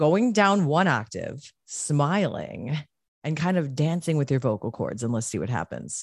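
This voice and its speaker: The voice, slow-paced and animated, has vocal fry and very wide pitch swings. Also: woman, very deep, low pitch for a woman. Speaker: podcast host. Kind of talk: casual chat.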